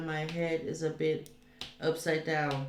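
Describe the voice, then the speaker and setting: A woman's very slow speech amid audible room echo and noticeable background noise. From Denmark. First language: Danish. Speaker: streamer. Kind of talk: casual chat. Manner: halting.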